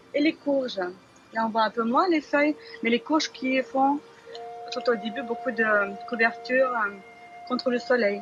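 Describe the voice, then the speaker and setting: The speaker is a woman with a Lithuanian accent and a high pitch. Music plays in the background. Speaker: dancer and gardener. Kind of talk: interview answer.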